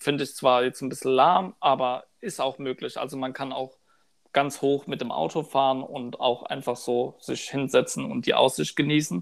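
At a moderate pace comes a plain, everyday voice. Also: man, medium pitch for a man, ordinary pitch variation, very clean recording, silent background. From Odenwald, southern Hesse (Birkenau). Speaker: podcast host. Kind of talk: casual chat.

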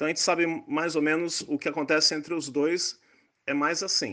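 A man speaks at a moderate pace with a fairly high pitch. He has an unremarkable speaking voice. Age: 60s. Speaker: neurosurgeon. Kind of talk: interview explaining science.

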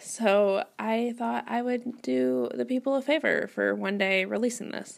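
Speaking with an American accent at a fairly slow pace, a woman uses a medium pitch with very wide pitch swings and hardly any pauses. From US Midwest, Wisconsin. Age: 20s. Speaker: writer and podcast host. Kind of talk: casual solo monologue. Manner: rambling, conversational.

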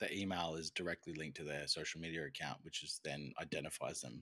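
Speaking with an Australian accent at a fairly quick pace, a man has a very deep, low pitch, a bright, sharp tone, vocal fry and ordinary pitch variation. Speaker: podcast co-host. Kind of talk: casual chat.

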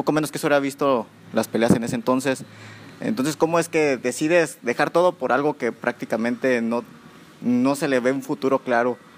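A man in an unremarkable speaking voice, fairly high-pitched for a man, talks at a moderate pace with ordinary pitch variation. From Salamanca, Guanajuato, Mexico. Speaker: podcast host. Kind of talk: casual interview. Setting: gym after training.

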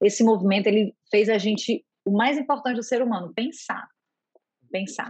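The background is quiet while a woman talks at a moderate pace. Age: 40s. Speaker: healthcare innovation manager. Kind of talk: interview.

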